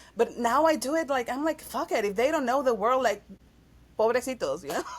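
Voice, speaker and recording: A woman speaks at a high pitch in a Spanish accent. Her pace is fairly quick, and her pitch varies in an ordinary way. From Mexico City. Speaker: actress and singer. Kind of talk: casual chat.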